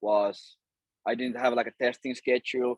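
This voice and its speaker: A man of medium pitch with a Finnish accent, at a moderate pace. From Finland. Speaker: cold email agency owner and course creator. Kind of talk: interview.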